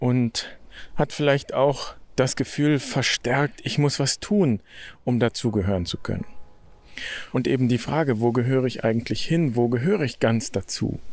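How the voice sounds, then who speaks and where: On a very clean recording with a silent background, a man speaks at a moderate pace and medium pitch, with ordinary pitch variation and long, frequent pauses. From Germany. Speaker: podcast host, Franciscan friar. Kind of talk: reflective monologue. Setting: outdoors, walking in nature.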